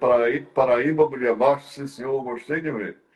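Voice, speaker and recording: A man's voice of medium pitch. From Brazil, Ceará interior (Northeast). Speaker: talk show host. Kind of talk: interview conversation. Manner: halting, many fillers and repetitions.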